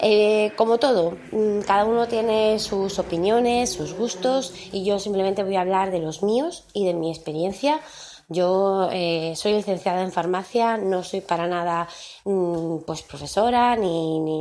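A woman at medium pitch, at a fairly slow pace and with ordinary pitch variation. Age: 30s. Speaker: podcast host. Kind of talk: casual monologue. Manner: hesitant, many fillers.

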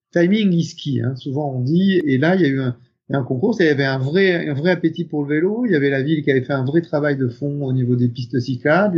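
Somewhat breathy delivery at a fairly quick pace, with ordinary pitch variation. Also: man. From northern France (Picardy). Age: 50s. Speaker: company executive. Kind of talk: interview. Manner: hesitant, many fillers.

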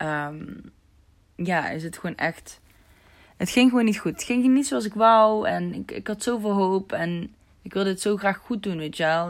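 A woman's lively intonation comes through at a moderate pace. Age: 20s. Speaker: podcast host, self-employed. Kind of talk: casual solo monologue. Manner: animated, casual.

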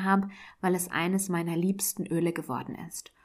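The speech comes in a normal speaking voice at a moderate pace, on a very clean recording with a silent background. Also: woman. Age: 30s. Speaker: podcast host. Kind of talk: solo podcast monologue.

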